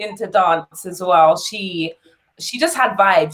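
A woman's lively intonation in a London accent. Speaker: dancer and singer. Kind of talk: interview.

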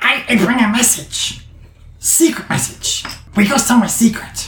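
A put-on character voice that sounds female, pitched fairly high for a woman. The pace is moderate and there is a slight echo. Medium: actual play. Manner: clipped, broken phrasing.

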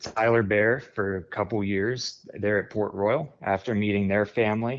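A man with an American accent and an unremarkable speaking voice, fairly low in pitch, with fairly even intonation at a moderate pace against a quiet background. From central Pennsylvania, near Harrisburg. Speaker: sprint car tire specialist, former teacher. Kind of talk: interview.

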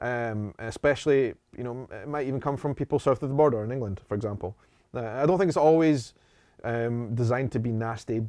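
A man's dark, mellow voice with a Scottish accent at a fairly quick pace, in a very clean recording with a silent background. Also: medium pitch for a man, ordinary pitch variation. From Edinburgh, Scotland. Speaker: travel vlogger. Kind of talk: interview conversation. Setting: in person, studio.

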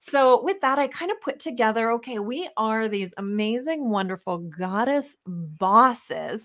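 On a very clean recording with a silent background, a woman with a Canadian accent speaks fairly slowly at a fairly high pitch, her tone animated and her intonation lively. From Canada, Winnipeg, Manitoba. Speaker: wellness coach. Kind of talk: interview. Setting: live-streamed recording.

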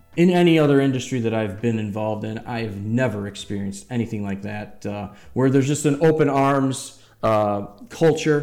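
Audible room echo surrounds a man talking at a moderate pace, his medium pitch showing ordinary variation. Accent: American. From US Midwest, Metro Detroit, Michigan. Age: 40s. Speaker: cannabis transport business owner. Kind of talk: casual podcast interview.

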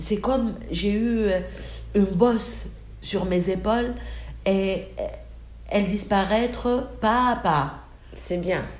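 A woman's medium-pitched voice with vocal fry, at a very slow pace with long, frequent pauses, and audible room echo. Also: ordinary pitch variation. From Tunisia, Bizerte. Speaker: bereaved mother. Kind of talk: emotional interview testimony. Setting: at home on sofa. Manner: halting.

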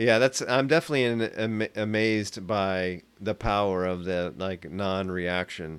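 An ordinary speaking voice with ordinary pitch variation runs with hardly any pauses on a very clean recording with a silent background. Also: man, fairly low pitch for a man, moderate pace. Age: 40s. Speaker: delivery driver. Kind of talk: casual chat.

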